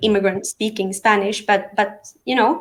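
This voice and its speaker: A woman speaks in a fairly high pitch with a slight non-native accent. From Sweden. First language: Aramean and Arabic. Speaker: real estate professional. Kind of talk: interview. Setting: live online stream. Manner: natural, fluent English.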